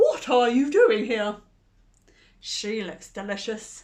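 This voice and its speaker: Putting on a character voice, a woman growls at a fairly high pitch and a fairly slow pace. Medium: read story. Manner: sly, growling.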